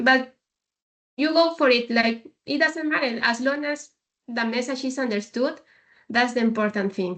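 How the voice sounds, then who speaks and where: With a slight Spanish accent, a woman speaks at a high pitch and a moderate pace, using ordinary pitch variation and long, frequent pauses. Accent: slight Spanish accent, very fluent. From Peru. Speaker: logistics leader. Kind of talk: podcast interview. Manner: confident.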